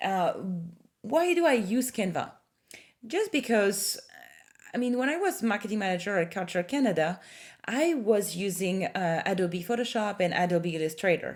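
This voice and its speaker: Pausing long and often, a woman with a medium-pitched voice speaks at a moderate pace with lively intonation. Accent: slight French. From France. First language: French. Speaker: marketing consultant. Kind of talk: tutorial. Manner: hesitant, many fillers.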